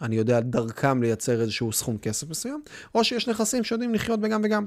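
On a very clean recording with a silent background, the speech moves at a fairly quick pace with lively intonation. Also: man. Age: young. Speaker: podcast host. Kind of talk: solo podcast monologue. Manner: fast.

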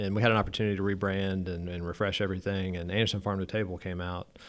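The very clean recording, with its silent background, captures a man with an American accent speaking at a fairly low pitch. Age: 30s. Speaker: city government official. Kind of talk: interview. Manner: hesitant, many fillers.

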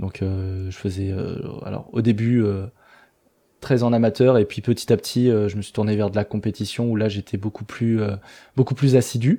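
A man speaks at a fairly low pitch with a dark, mellow tone and fairly even intonation. His moderate pace is broken by long, frequent pauses against a quiet background. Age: 30s. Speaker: street workout athlete and content creator. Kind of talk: casual chat. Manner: halting.

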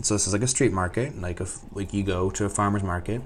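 Speaking very fast, a man with a fairly low voice sounds animated throughout. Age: 20s. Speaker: vlogger studying abroad. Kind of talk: casual monologue vlog.

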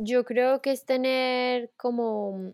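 In a very clean recording with a silent background and a dry, close sound with no echo, a woman speaks in a fairly high pitch. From Colombia, Manizales. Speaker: mother telling her story. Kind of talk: casual interview.

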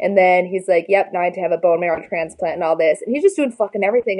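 A woman speaks with an American accent at a medium pitch. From Minnesota. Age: 20s. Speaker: bodybuilder. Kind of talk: casual chat.

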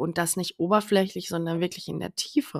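In a dry, close recording with no echo, a woman with a fairly low voice and vocal fry talks at a moderate pace with ordinary pitch variation. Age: 30s. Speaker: podcast host, abuse survivor advocate. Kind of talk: personal monologue. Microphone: new better microphone.

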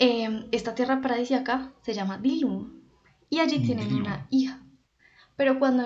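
Audible room echo surrounds a woman's voice. Her pitch is fairly high and her intonation fairly even. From Colombia, Popayán (Cauca). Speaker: podcast co-host, journalist. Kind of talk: casual chat. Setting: studio.

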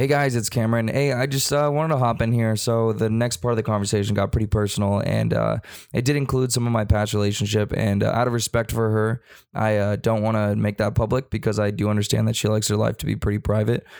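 Against a silent background in a very clean recording, a man talks at a very fast pace in a fairly low voice, with fairly even intonation and very even loudness. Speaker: podcast host. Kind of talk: casual chat. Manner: profane, casual.

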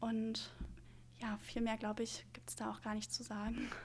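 The speaker talks at a fairly slow pace with a somewhat breathy voice. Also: woman. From Mecklenburg-Western Pomerania, Germany (Neubrandenburg). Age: 20s. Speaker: medical student. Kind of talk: casual interview.

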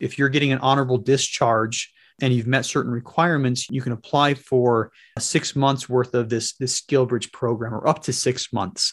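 Speaking at a moderate pace, a man uses a medium pitch and fairly even intonation. The sound is dry and close with no echo, over a quiet background. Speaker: retired Marine officer and real estate investor. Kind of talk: interview. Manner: repeats words, slightly halting.

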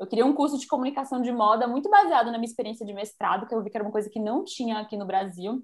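Speaking at a very fast pace with hardly any pauses, a woman with a fairly high pitch shows ordinary pitch variation and big swings in loudness. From Bahia, Brazil. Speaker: fashion influencer and youtuber. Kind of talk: casual interview chat.

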